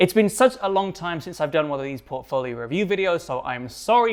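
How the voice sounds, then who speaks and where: A man talks at a fairly quick pace and a high pitch. His intonation is lively. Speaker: product designer reviewing portfolios. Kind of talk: video commentary. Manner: fast.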